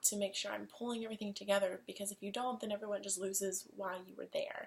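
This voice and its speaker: The speaker is a woman. She talks very fast. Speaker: student. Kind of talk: self-assessment presentation to camera. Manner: enthusiastic.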